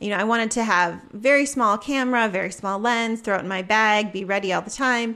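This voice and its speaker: With hardly any pauses, a woman speaks in a bright, sharp, fairly high voice with fairly even intonation. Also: fairly quick pace. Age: 40s. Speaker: photographer and teacher. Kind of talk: casual interview.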